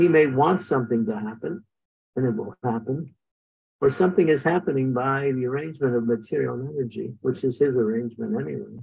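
Speaking at a fairly quick pace, a man has a medium-pitched voice with a slightly husky edge, vocal fry and ordinary pitch variation.

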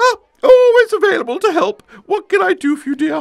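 This is a cartoonish character voice, squeaky and extremely high in pitch. It moves at a fairly quick pace. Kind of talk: comic character dialogue. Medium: puppet show. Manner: chatty, eager to help. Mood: warm, obliging.

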